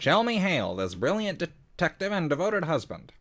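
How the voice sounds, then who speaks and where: A man performs a put-on character voice. He speaks high and at a fairly quick pace. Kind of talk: announcer-style, formal. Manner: exaggerated, mocking.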